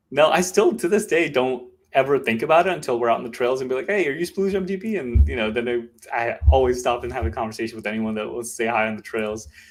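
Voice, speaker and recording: With music in the background, a man in an American accent speaks very fast at a medium pitch, his voice swinging very widely. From Maryland, US. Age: 30s. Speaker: mountain bike content creator. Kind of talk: casual podcast interview.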